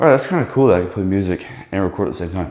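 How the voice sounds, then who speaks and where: Lively intonation marks a man's very deep, low voice. Room echo is audible. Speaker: fitness vlogger. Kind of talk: casual gym vlog. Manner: loud; casual, rambling.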